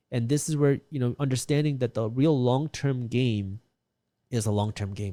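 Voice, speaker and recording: A man with a non-native accent and a dark, mellow tone speaks at a medium pitch and moderate pace with ordinary pitch variation, on a very clean recording with a silent background and a dry, close sound with no echo. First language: not English. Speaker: real estate investor and finance content creator. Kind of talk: interview talk about personal finance.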